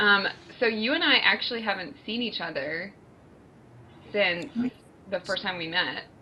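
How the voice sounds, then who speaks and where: The speech moves at a moderate pace with lively intonation and long, frequent pauses. Noticeable background noise runs underneath. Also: woman, medium pitch for a woman. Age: 30s. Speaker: cancer survivor podcast co-host. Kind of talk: casual chat.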